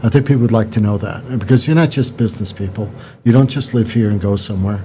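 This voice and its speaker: Talking at a very fast pace, a man has a medium pitch and a dark, mellow tone. His voice is somewhat breathy, with ordinary pitch variation. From New York. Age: 60s. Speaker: podcast host. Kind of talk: interview.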